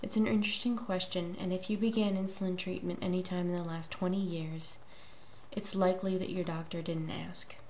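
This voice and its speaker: A quiet woman with fairly even intonation, audible room echo and noticeable background noise. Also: medium pitch for a woman, fairly quick pace. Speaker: video blogger and diabetes advocate. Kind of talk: opinion monologue.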